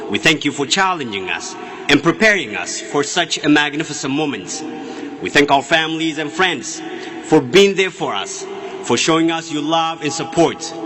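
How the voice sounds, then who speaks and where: With an Ethiopian accent, a man speaks over noticeable background noise. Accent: Ethiopian (Oromo) accent in English. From Ethiopia (Oromia). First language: Afaan Oromo. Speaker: student speaker. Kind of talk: commencement speech. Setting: stage with audience. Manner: formal.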